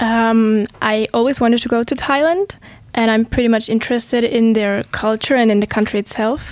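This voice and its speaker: A woman with a plain, everyday voice speaks at a moderate pace, fairly high in pitch, with fairly even intonation. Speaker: student teacher. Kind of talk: interview.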